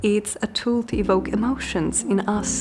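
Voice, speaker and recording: Fairly slow female speech with music in the background. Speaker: art YouTuber. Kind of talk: casual video commentary.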